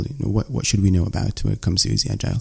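A dark, mellow, somewhat breathy male voice. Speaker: podcast host. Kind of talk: casual interview chat. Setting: remote call.

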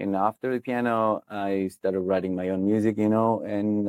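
Fairly low-pitched man at a moderate pace, monotone and flat in intonation, with a dry, close sound and no echo. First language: Italian. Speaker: goth rock singer and songwriter. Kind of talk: interview.

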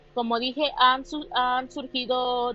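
A woman's high-pitched voice. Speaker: amateur podcaster. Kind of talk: casual monologue. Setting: alone in a quiet room. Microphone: phone recording.

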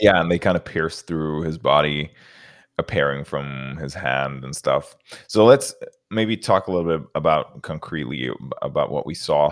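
With big swings in loudness, a man with a very deep, low voice speaks at a moderate pace and ordinary pitch variation. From Norway. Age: 30s. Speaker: podcast host. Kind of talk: casual chat.

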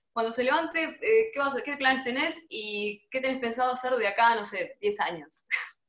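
This woman's voice sits at a high pitch. She uses lively intonation. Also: moderate pace, hardly any pauses. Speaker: interviewer. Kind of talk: casual interview. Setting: at home, video call.

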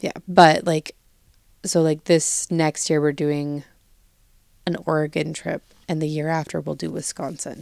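A woman's very deep, low voice, monotone and flat, at a fairly slow pace with long, frequent pauses. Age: 20s. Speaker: podcast co-host. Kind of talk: casual chat.

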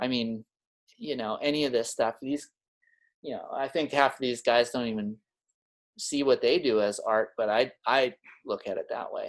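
A man speaks with a Manitoban accent at a moderate pace. He leaves long, frequent pauses against a quiet background. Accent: Canadian (Manitoba). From Winnipeg, Manitoba, Canada. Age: 40s. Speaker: artist and craftsman. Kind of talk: casual chat.

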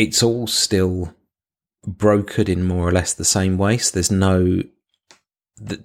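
A man's very deep, low voice with a British accent at a moderate pace, on a very clean recording with a silent background. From UK. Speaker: podcast co-host, IT professional. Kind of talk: casual chat.

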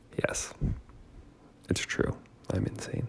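Whispering from a man. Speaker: podcast host. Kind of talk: casual monologue. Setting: at home in dining room. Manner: soft-spoken.

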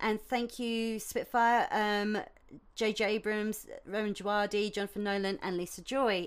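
In a British accent, a woman speaks at a medium pitch. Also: very clean recording, silent background. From UK. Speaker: violinist and composer podcaster. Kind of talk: casual solo podcast monologue. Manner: chatty, rambling, informal.

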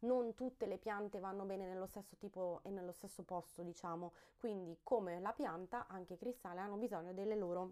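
At a fairly quick pace, a woman talks in a medium pitch with a dark, mellow tone. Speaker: podcast host on crystals and wellbeing. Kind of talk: casual solo podcast monologue. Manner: animated, energetic after coffee.

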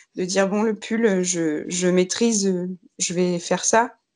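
The background stays quiet. A woman speaks fairly slowly, her pitch varying in an ordinary way. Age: 30s. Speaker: knitwear designer. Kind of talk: casual chat. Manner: halting.

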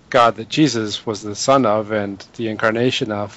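Here a man uses a plain, everyday voice, with fairly even intonation at a moderate pace. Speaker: podcast co-host. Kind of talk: casual interview conversation.

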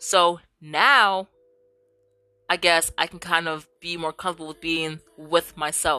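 A woman's fairly low-pitched, bright, sharp, animated voice with big swings in loudness against a quiet background. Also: dry, close sound with no echo. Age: 20s. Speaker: podcast host. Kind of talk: casual solo commentary reacting to reddit posts. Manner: animated, frequent laughter.

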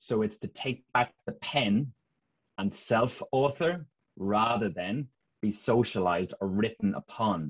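Dry and close with no echo, a man with a Dublin accent speaks very slowly at a fairly low pitch with ordinary pitch variation. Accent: Irish (Dublin). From Ireland, Dublin. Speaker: leadership and mindset coach. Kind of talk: casual interview.

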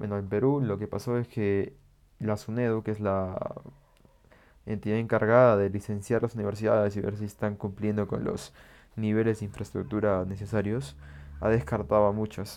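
Fairly low in pitch, a man talks with ordinary pitch variation. His pace is moderate. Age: 20s. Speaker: law student, podcaster. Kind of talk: casual monologue. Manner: halting, many fillers.

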